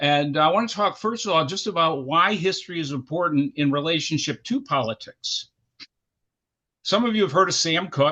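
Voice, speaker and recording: This man has an American accent and a high-pitched voice. He talks at a moderate pace with lively intonation. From Syracuse, New York, US. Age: 70s. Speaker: history professor. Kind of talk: lecture.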